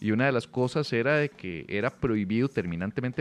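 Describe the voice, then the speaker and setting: With a normal speaking voice, a man talks at medium pitch in a dry, close sound with no echo. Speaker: podcast host and comedian. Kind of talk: casual chat. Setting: hotel room.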